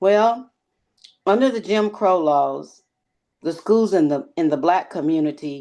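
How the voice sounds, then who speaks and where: A woman speaks in a fairly low pitch with a dark, mellow tone and lively intonation. Her pace is fairly slow, with long, frequent pauses over a quiet background. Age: 60s. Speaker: retired dental hygienist. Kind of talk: interview.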